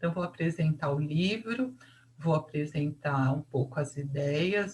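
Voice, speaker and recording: This woman has a very deep, low pitch, a somewhat breathy delivery and a dark, mellow tone. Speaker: psychology teacher. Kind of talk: lecture. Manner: casual, conversational.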